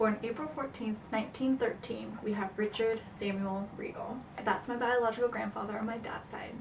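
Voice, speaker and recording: Speaking at a moderate pace, a woman with a fairly high pitch keeps her intonation fairly even over noticeable background noise. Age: 20s. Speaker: psychology student. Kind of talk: class project presentation.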